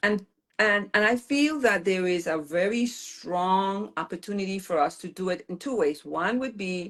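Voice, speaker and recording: A woman with an American accent speaks at a medium pitch in a plain, everyday voice. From US Virgin Islands, St. Croix. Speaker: political candidate. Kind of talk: interview.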